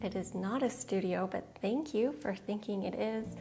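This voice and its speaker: Music plays behind a woman with an American accent. She talks at a fairly slow pace. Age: 40s. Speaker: minimalism vlogger. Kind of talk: casual Q&A to camera.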